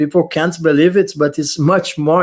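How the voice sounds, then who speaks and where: A man talks at a moderate pace with a non-native accent. His pitch is fairly high, with fairly even intonation. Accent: foreign accent in English. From Middle East. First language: not English. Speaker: crypto YouTuber. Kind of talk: casual chat.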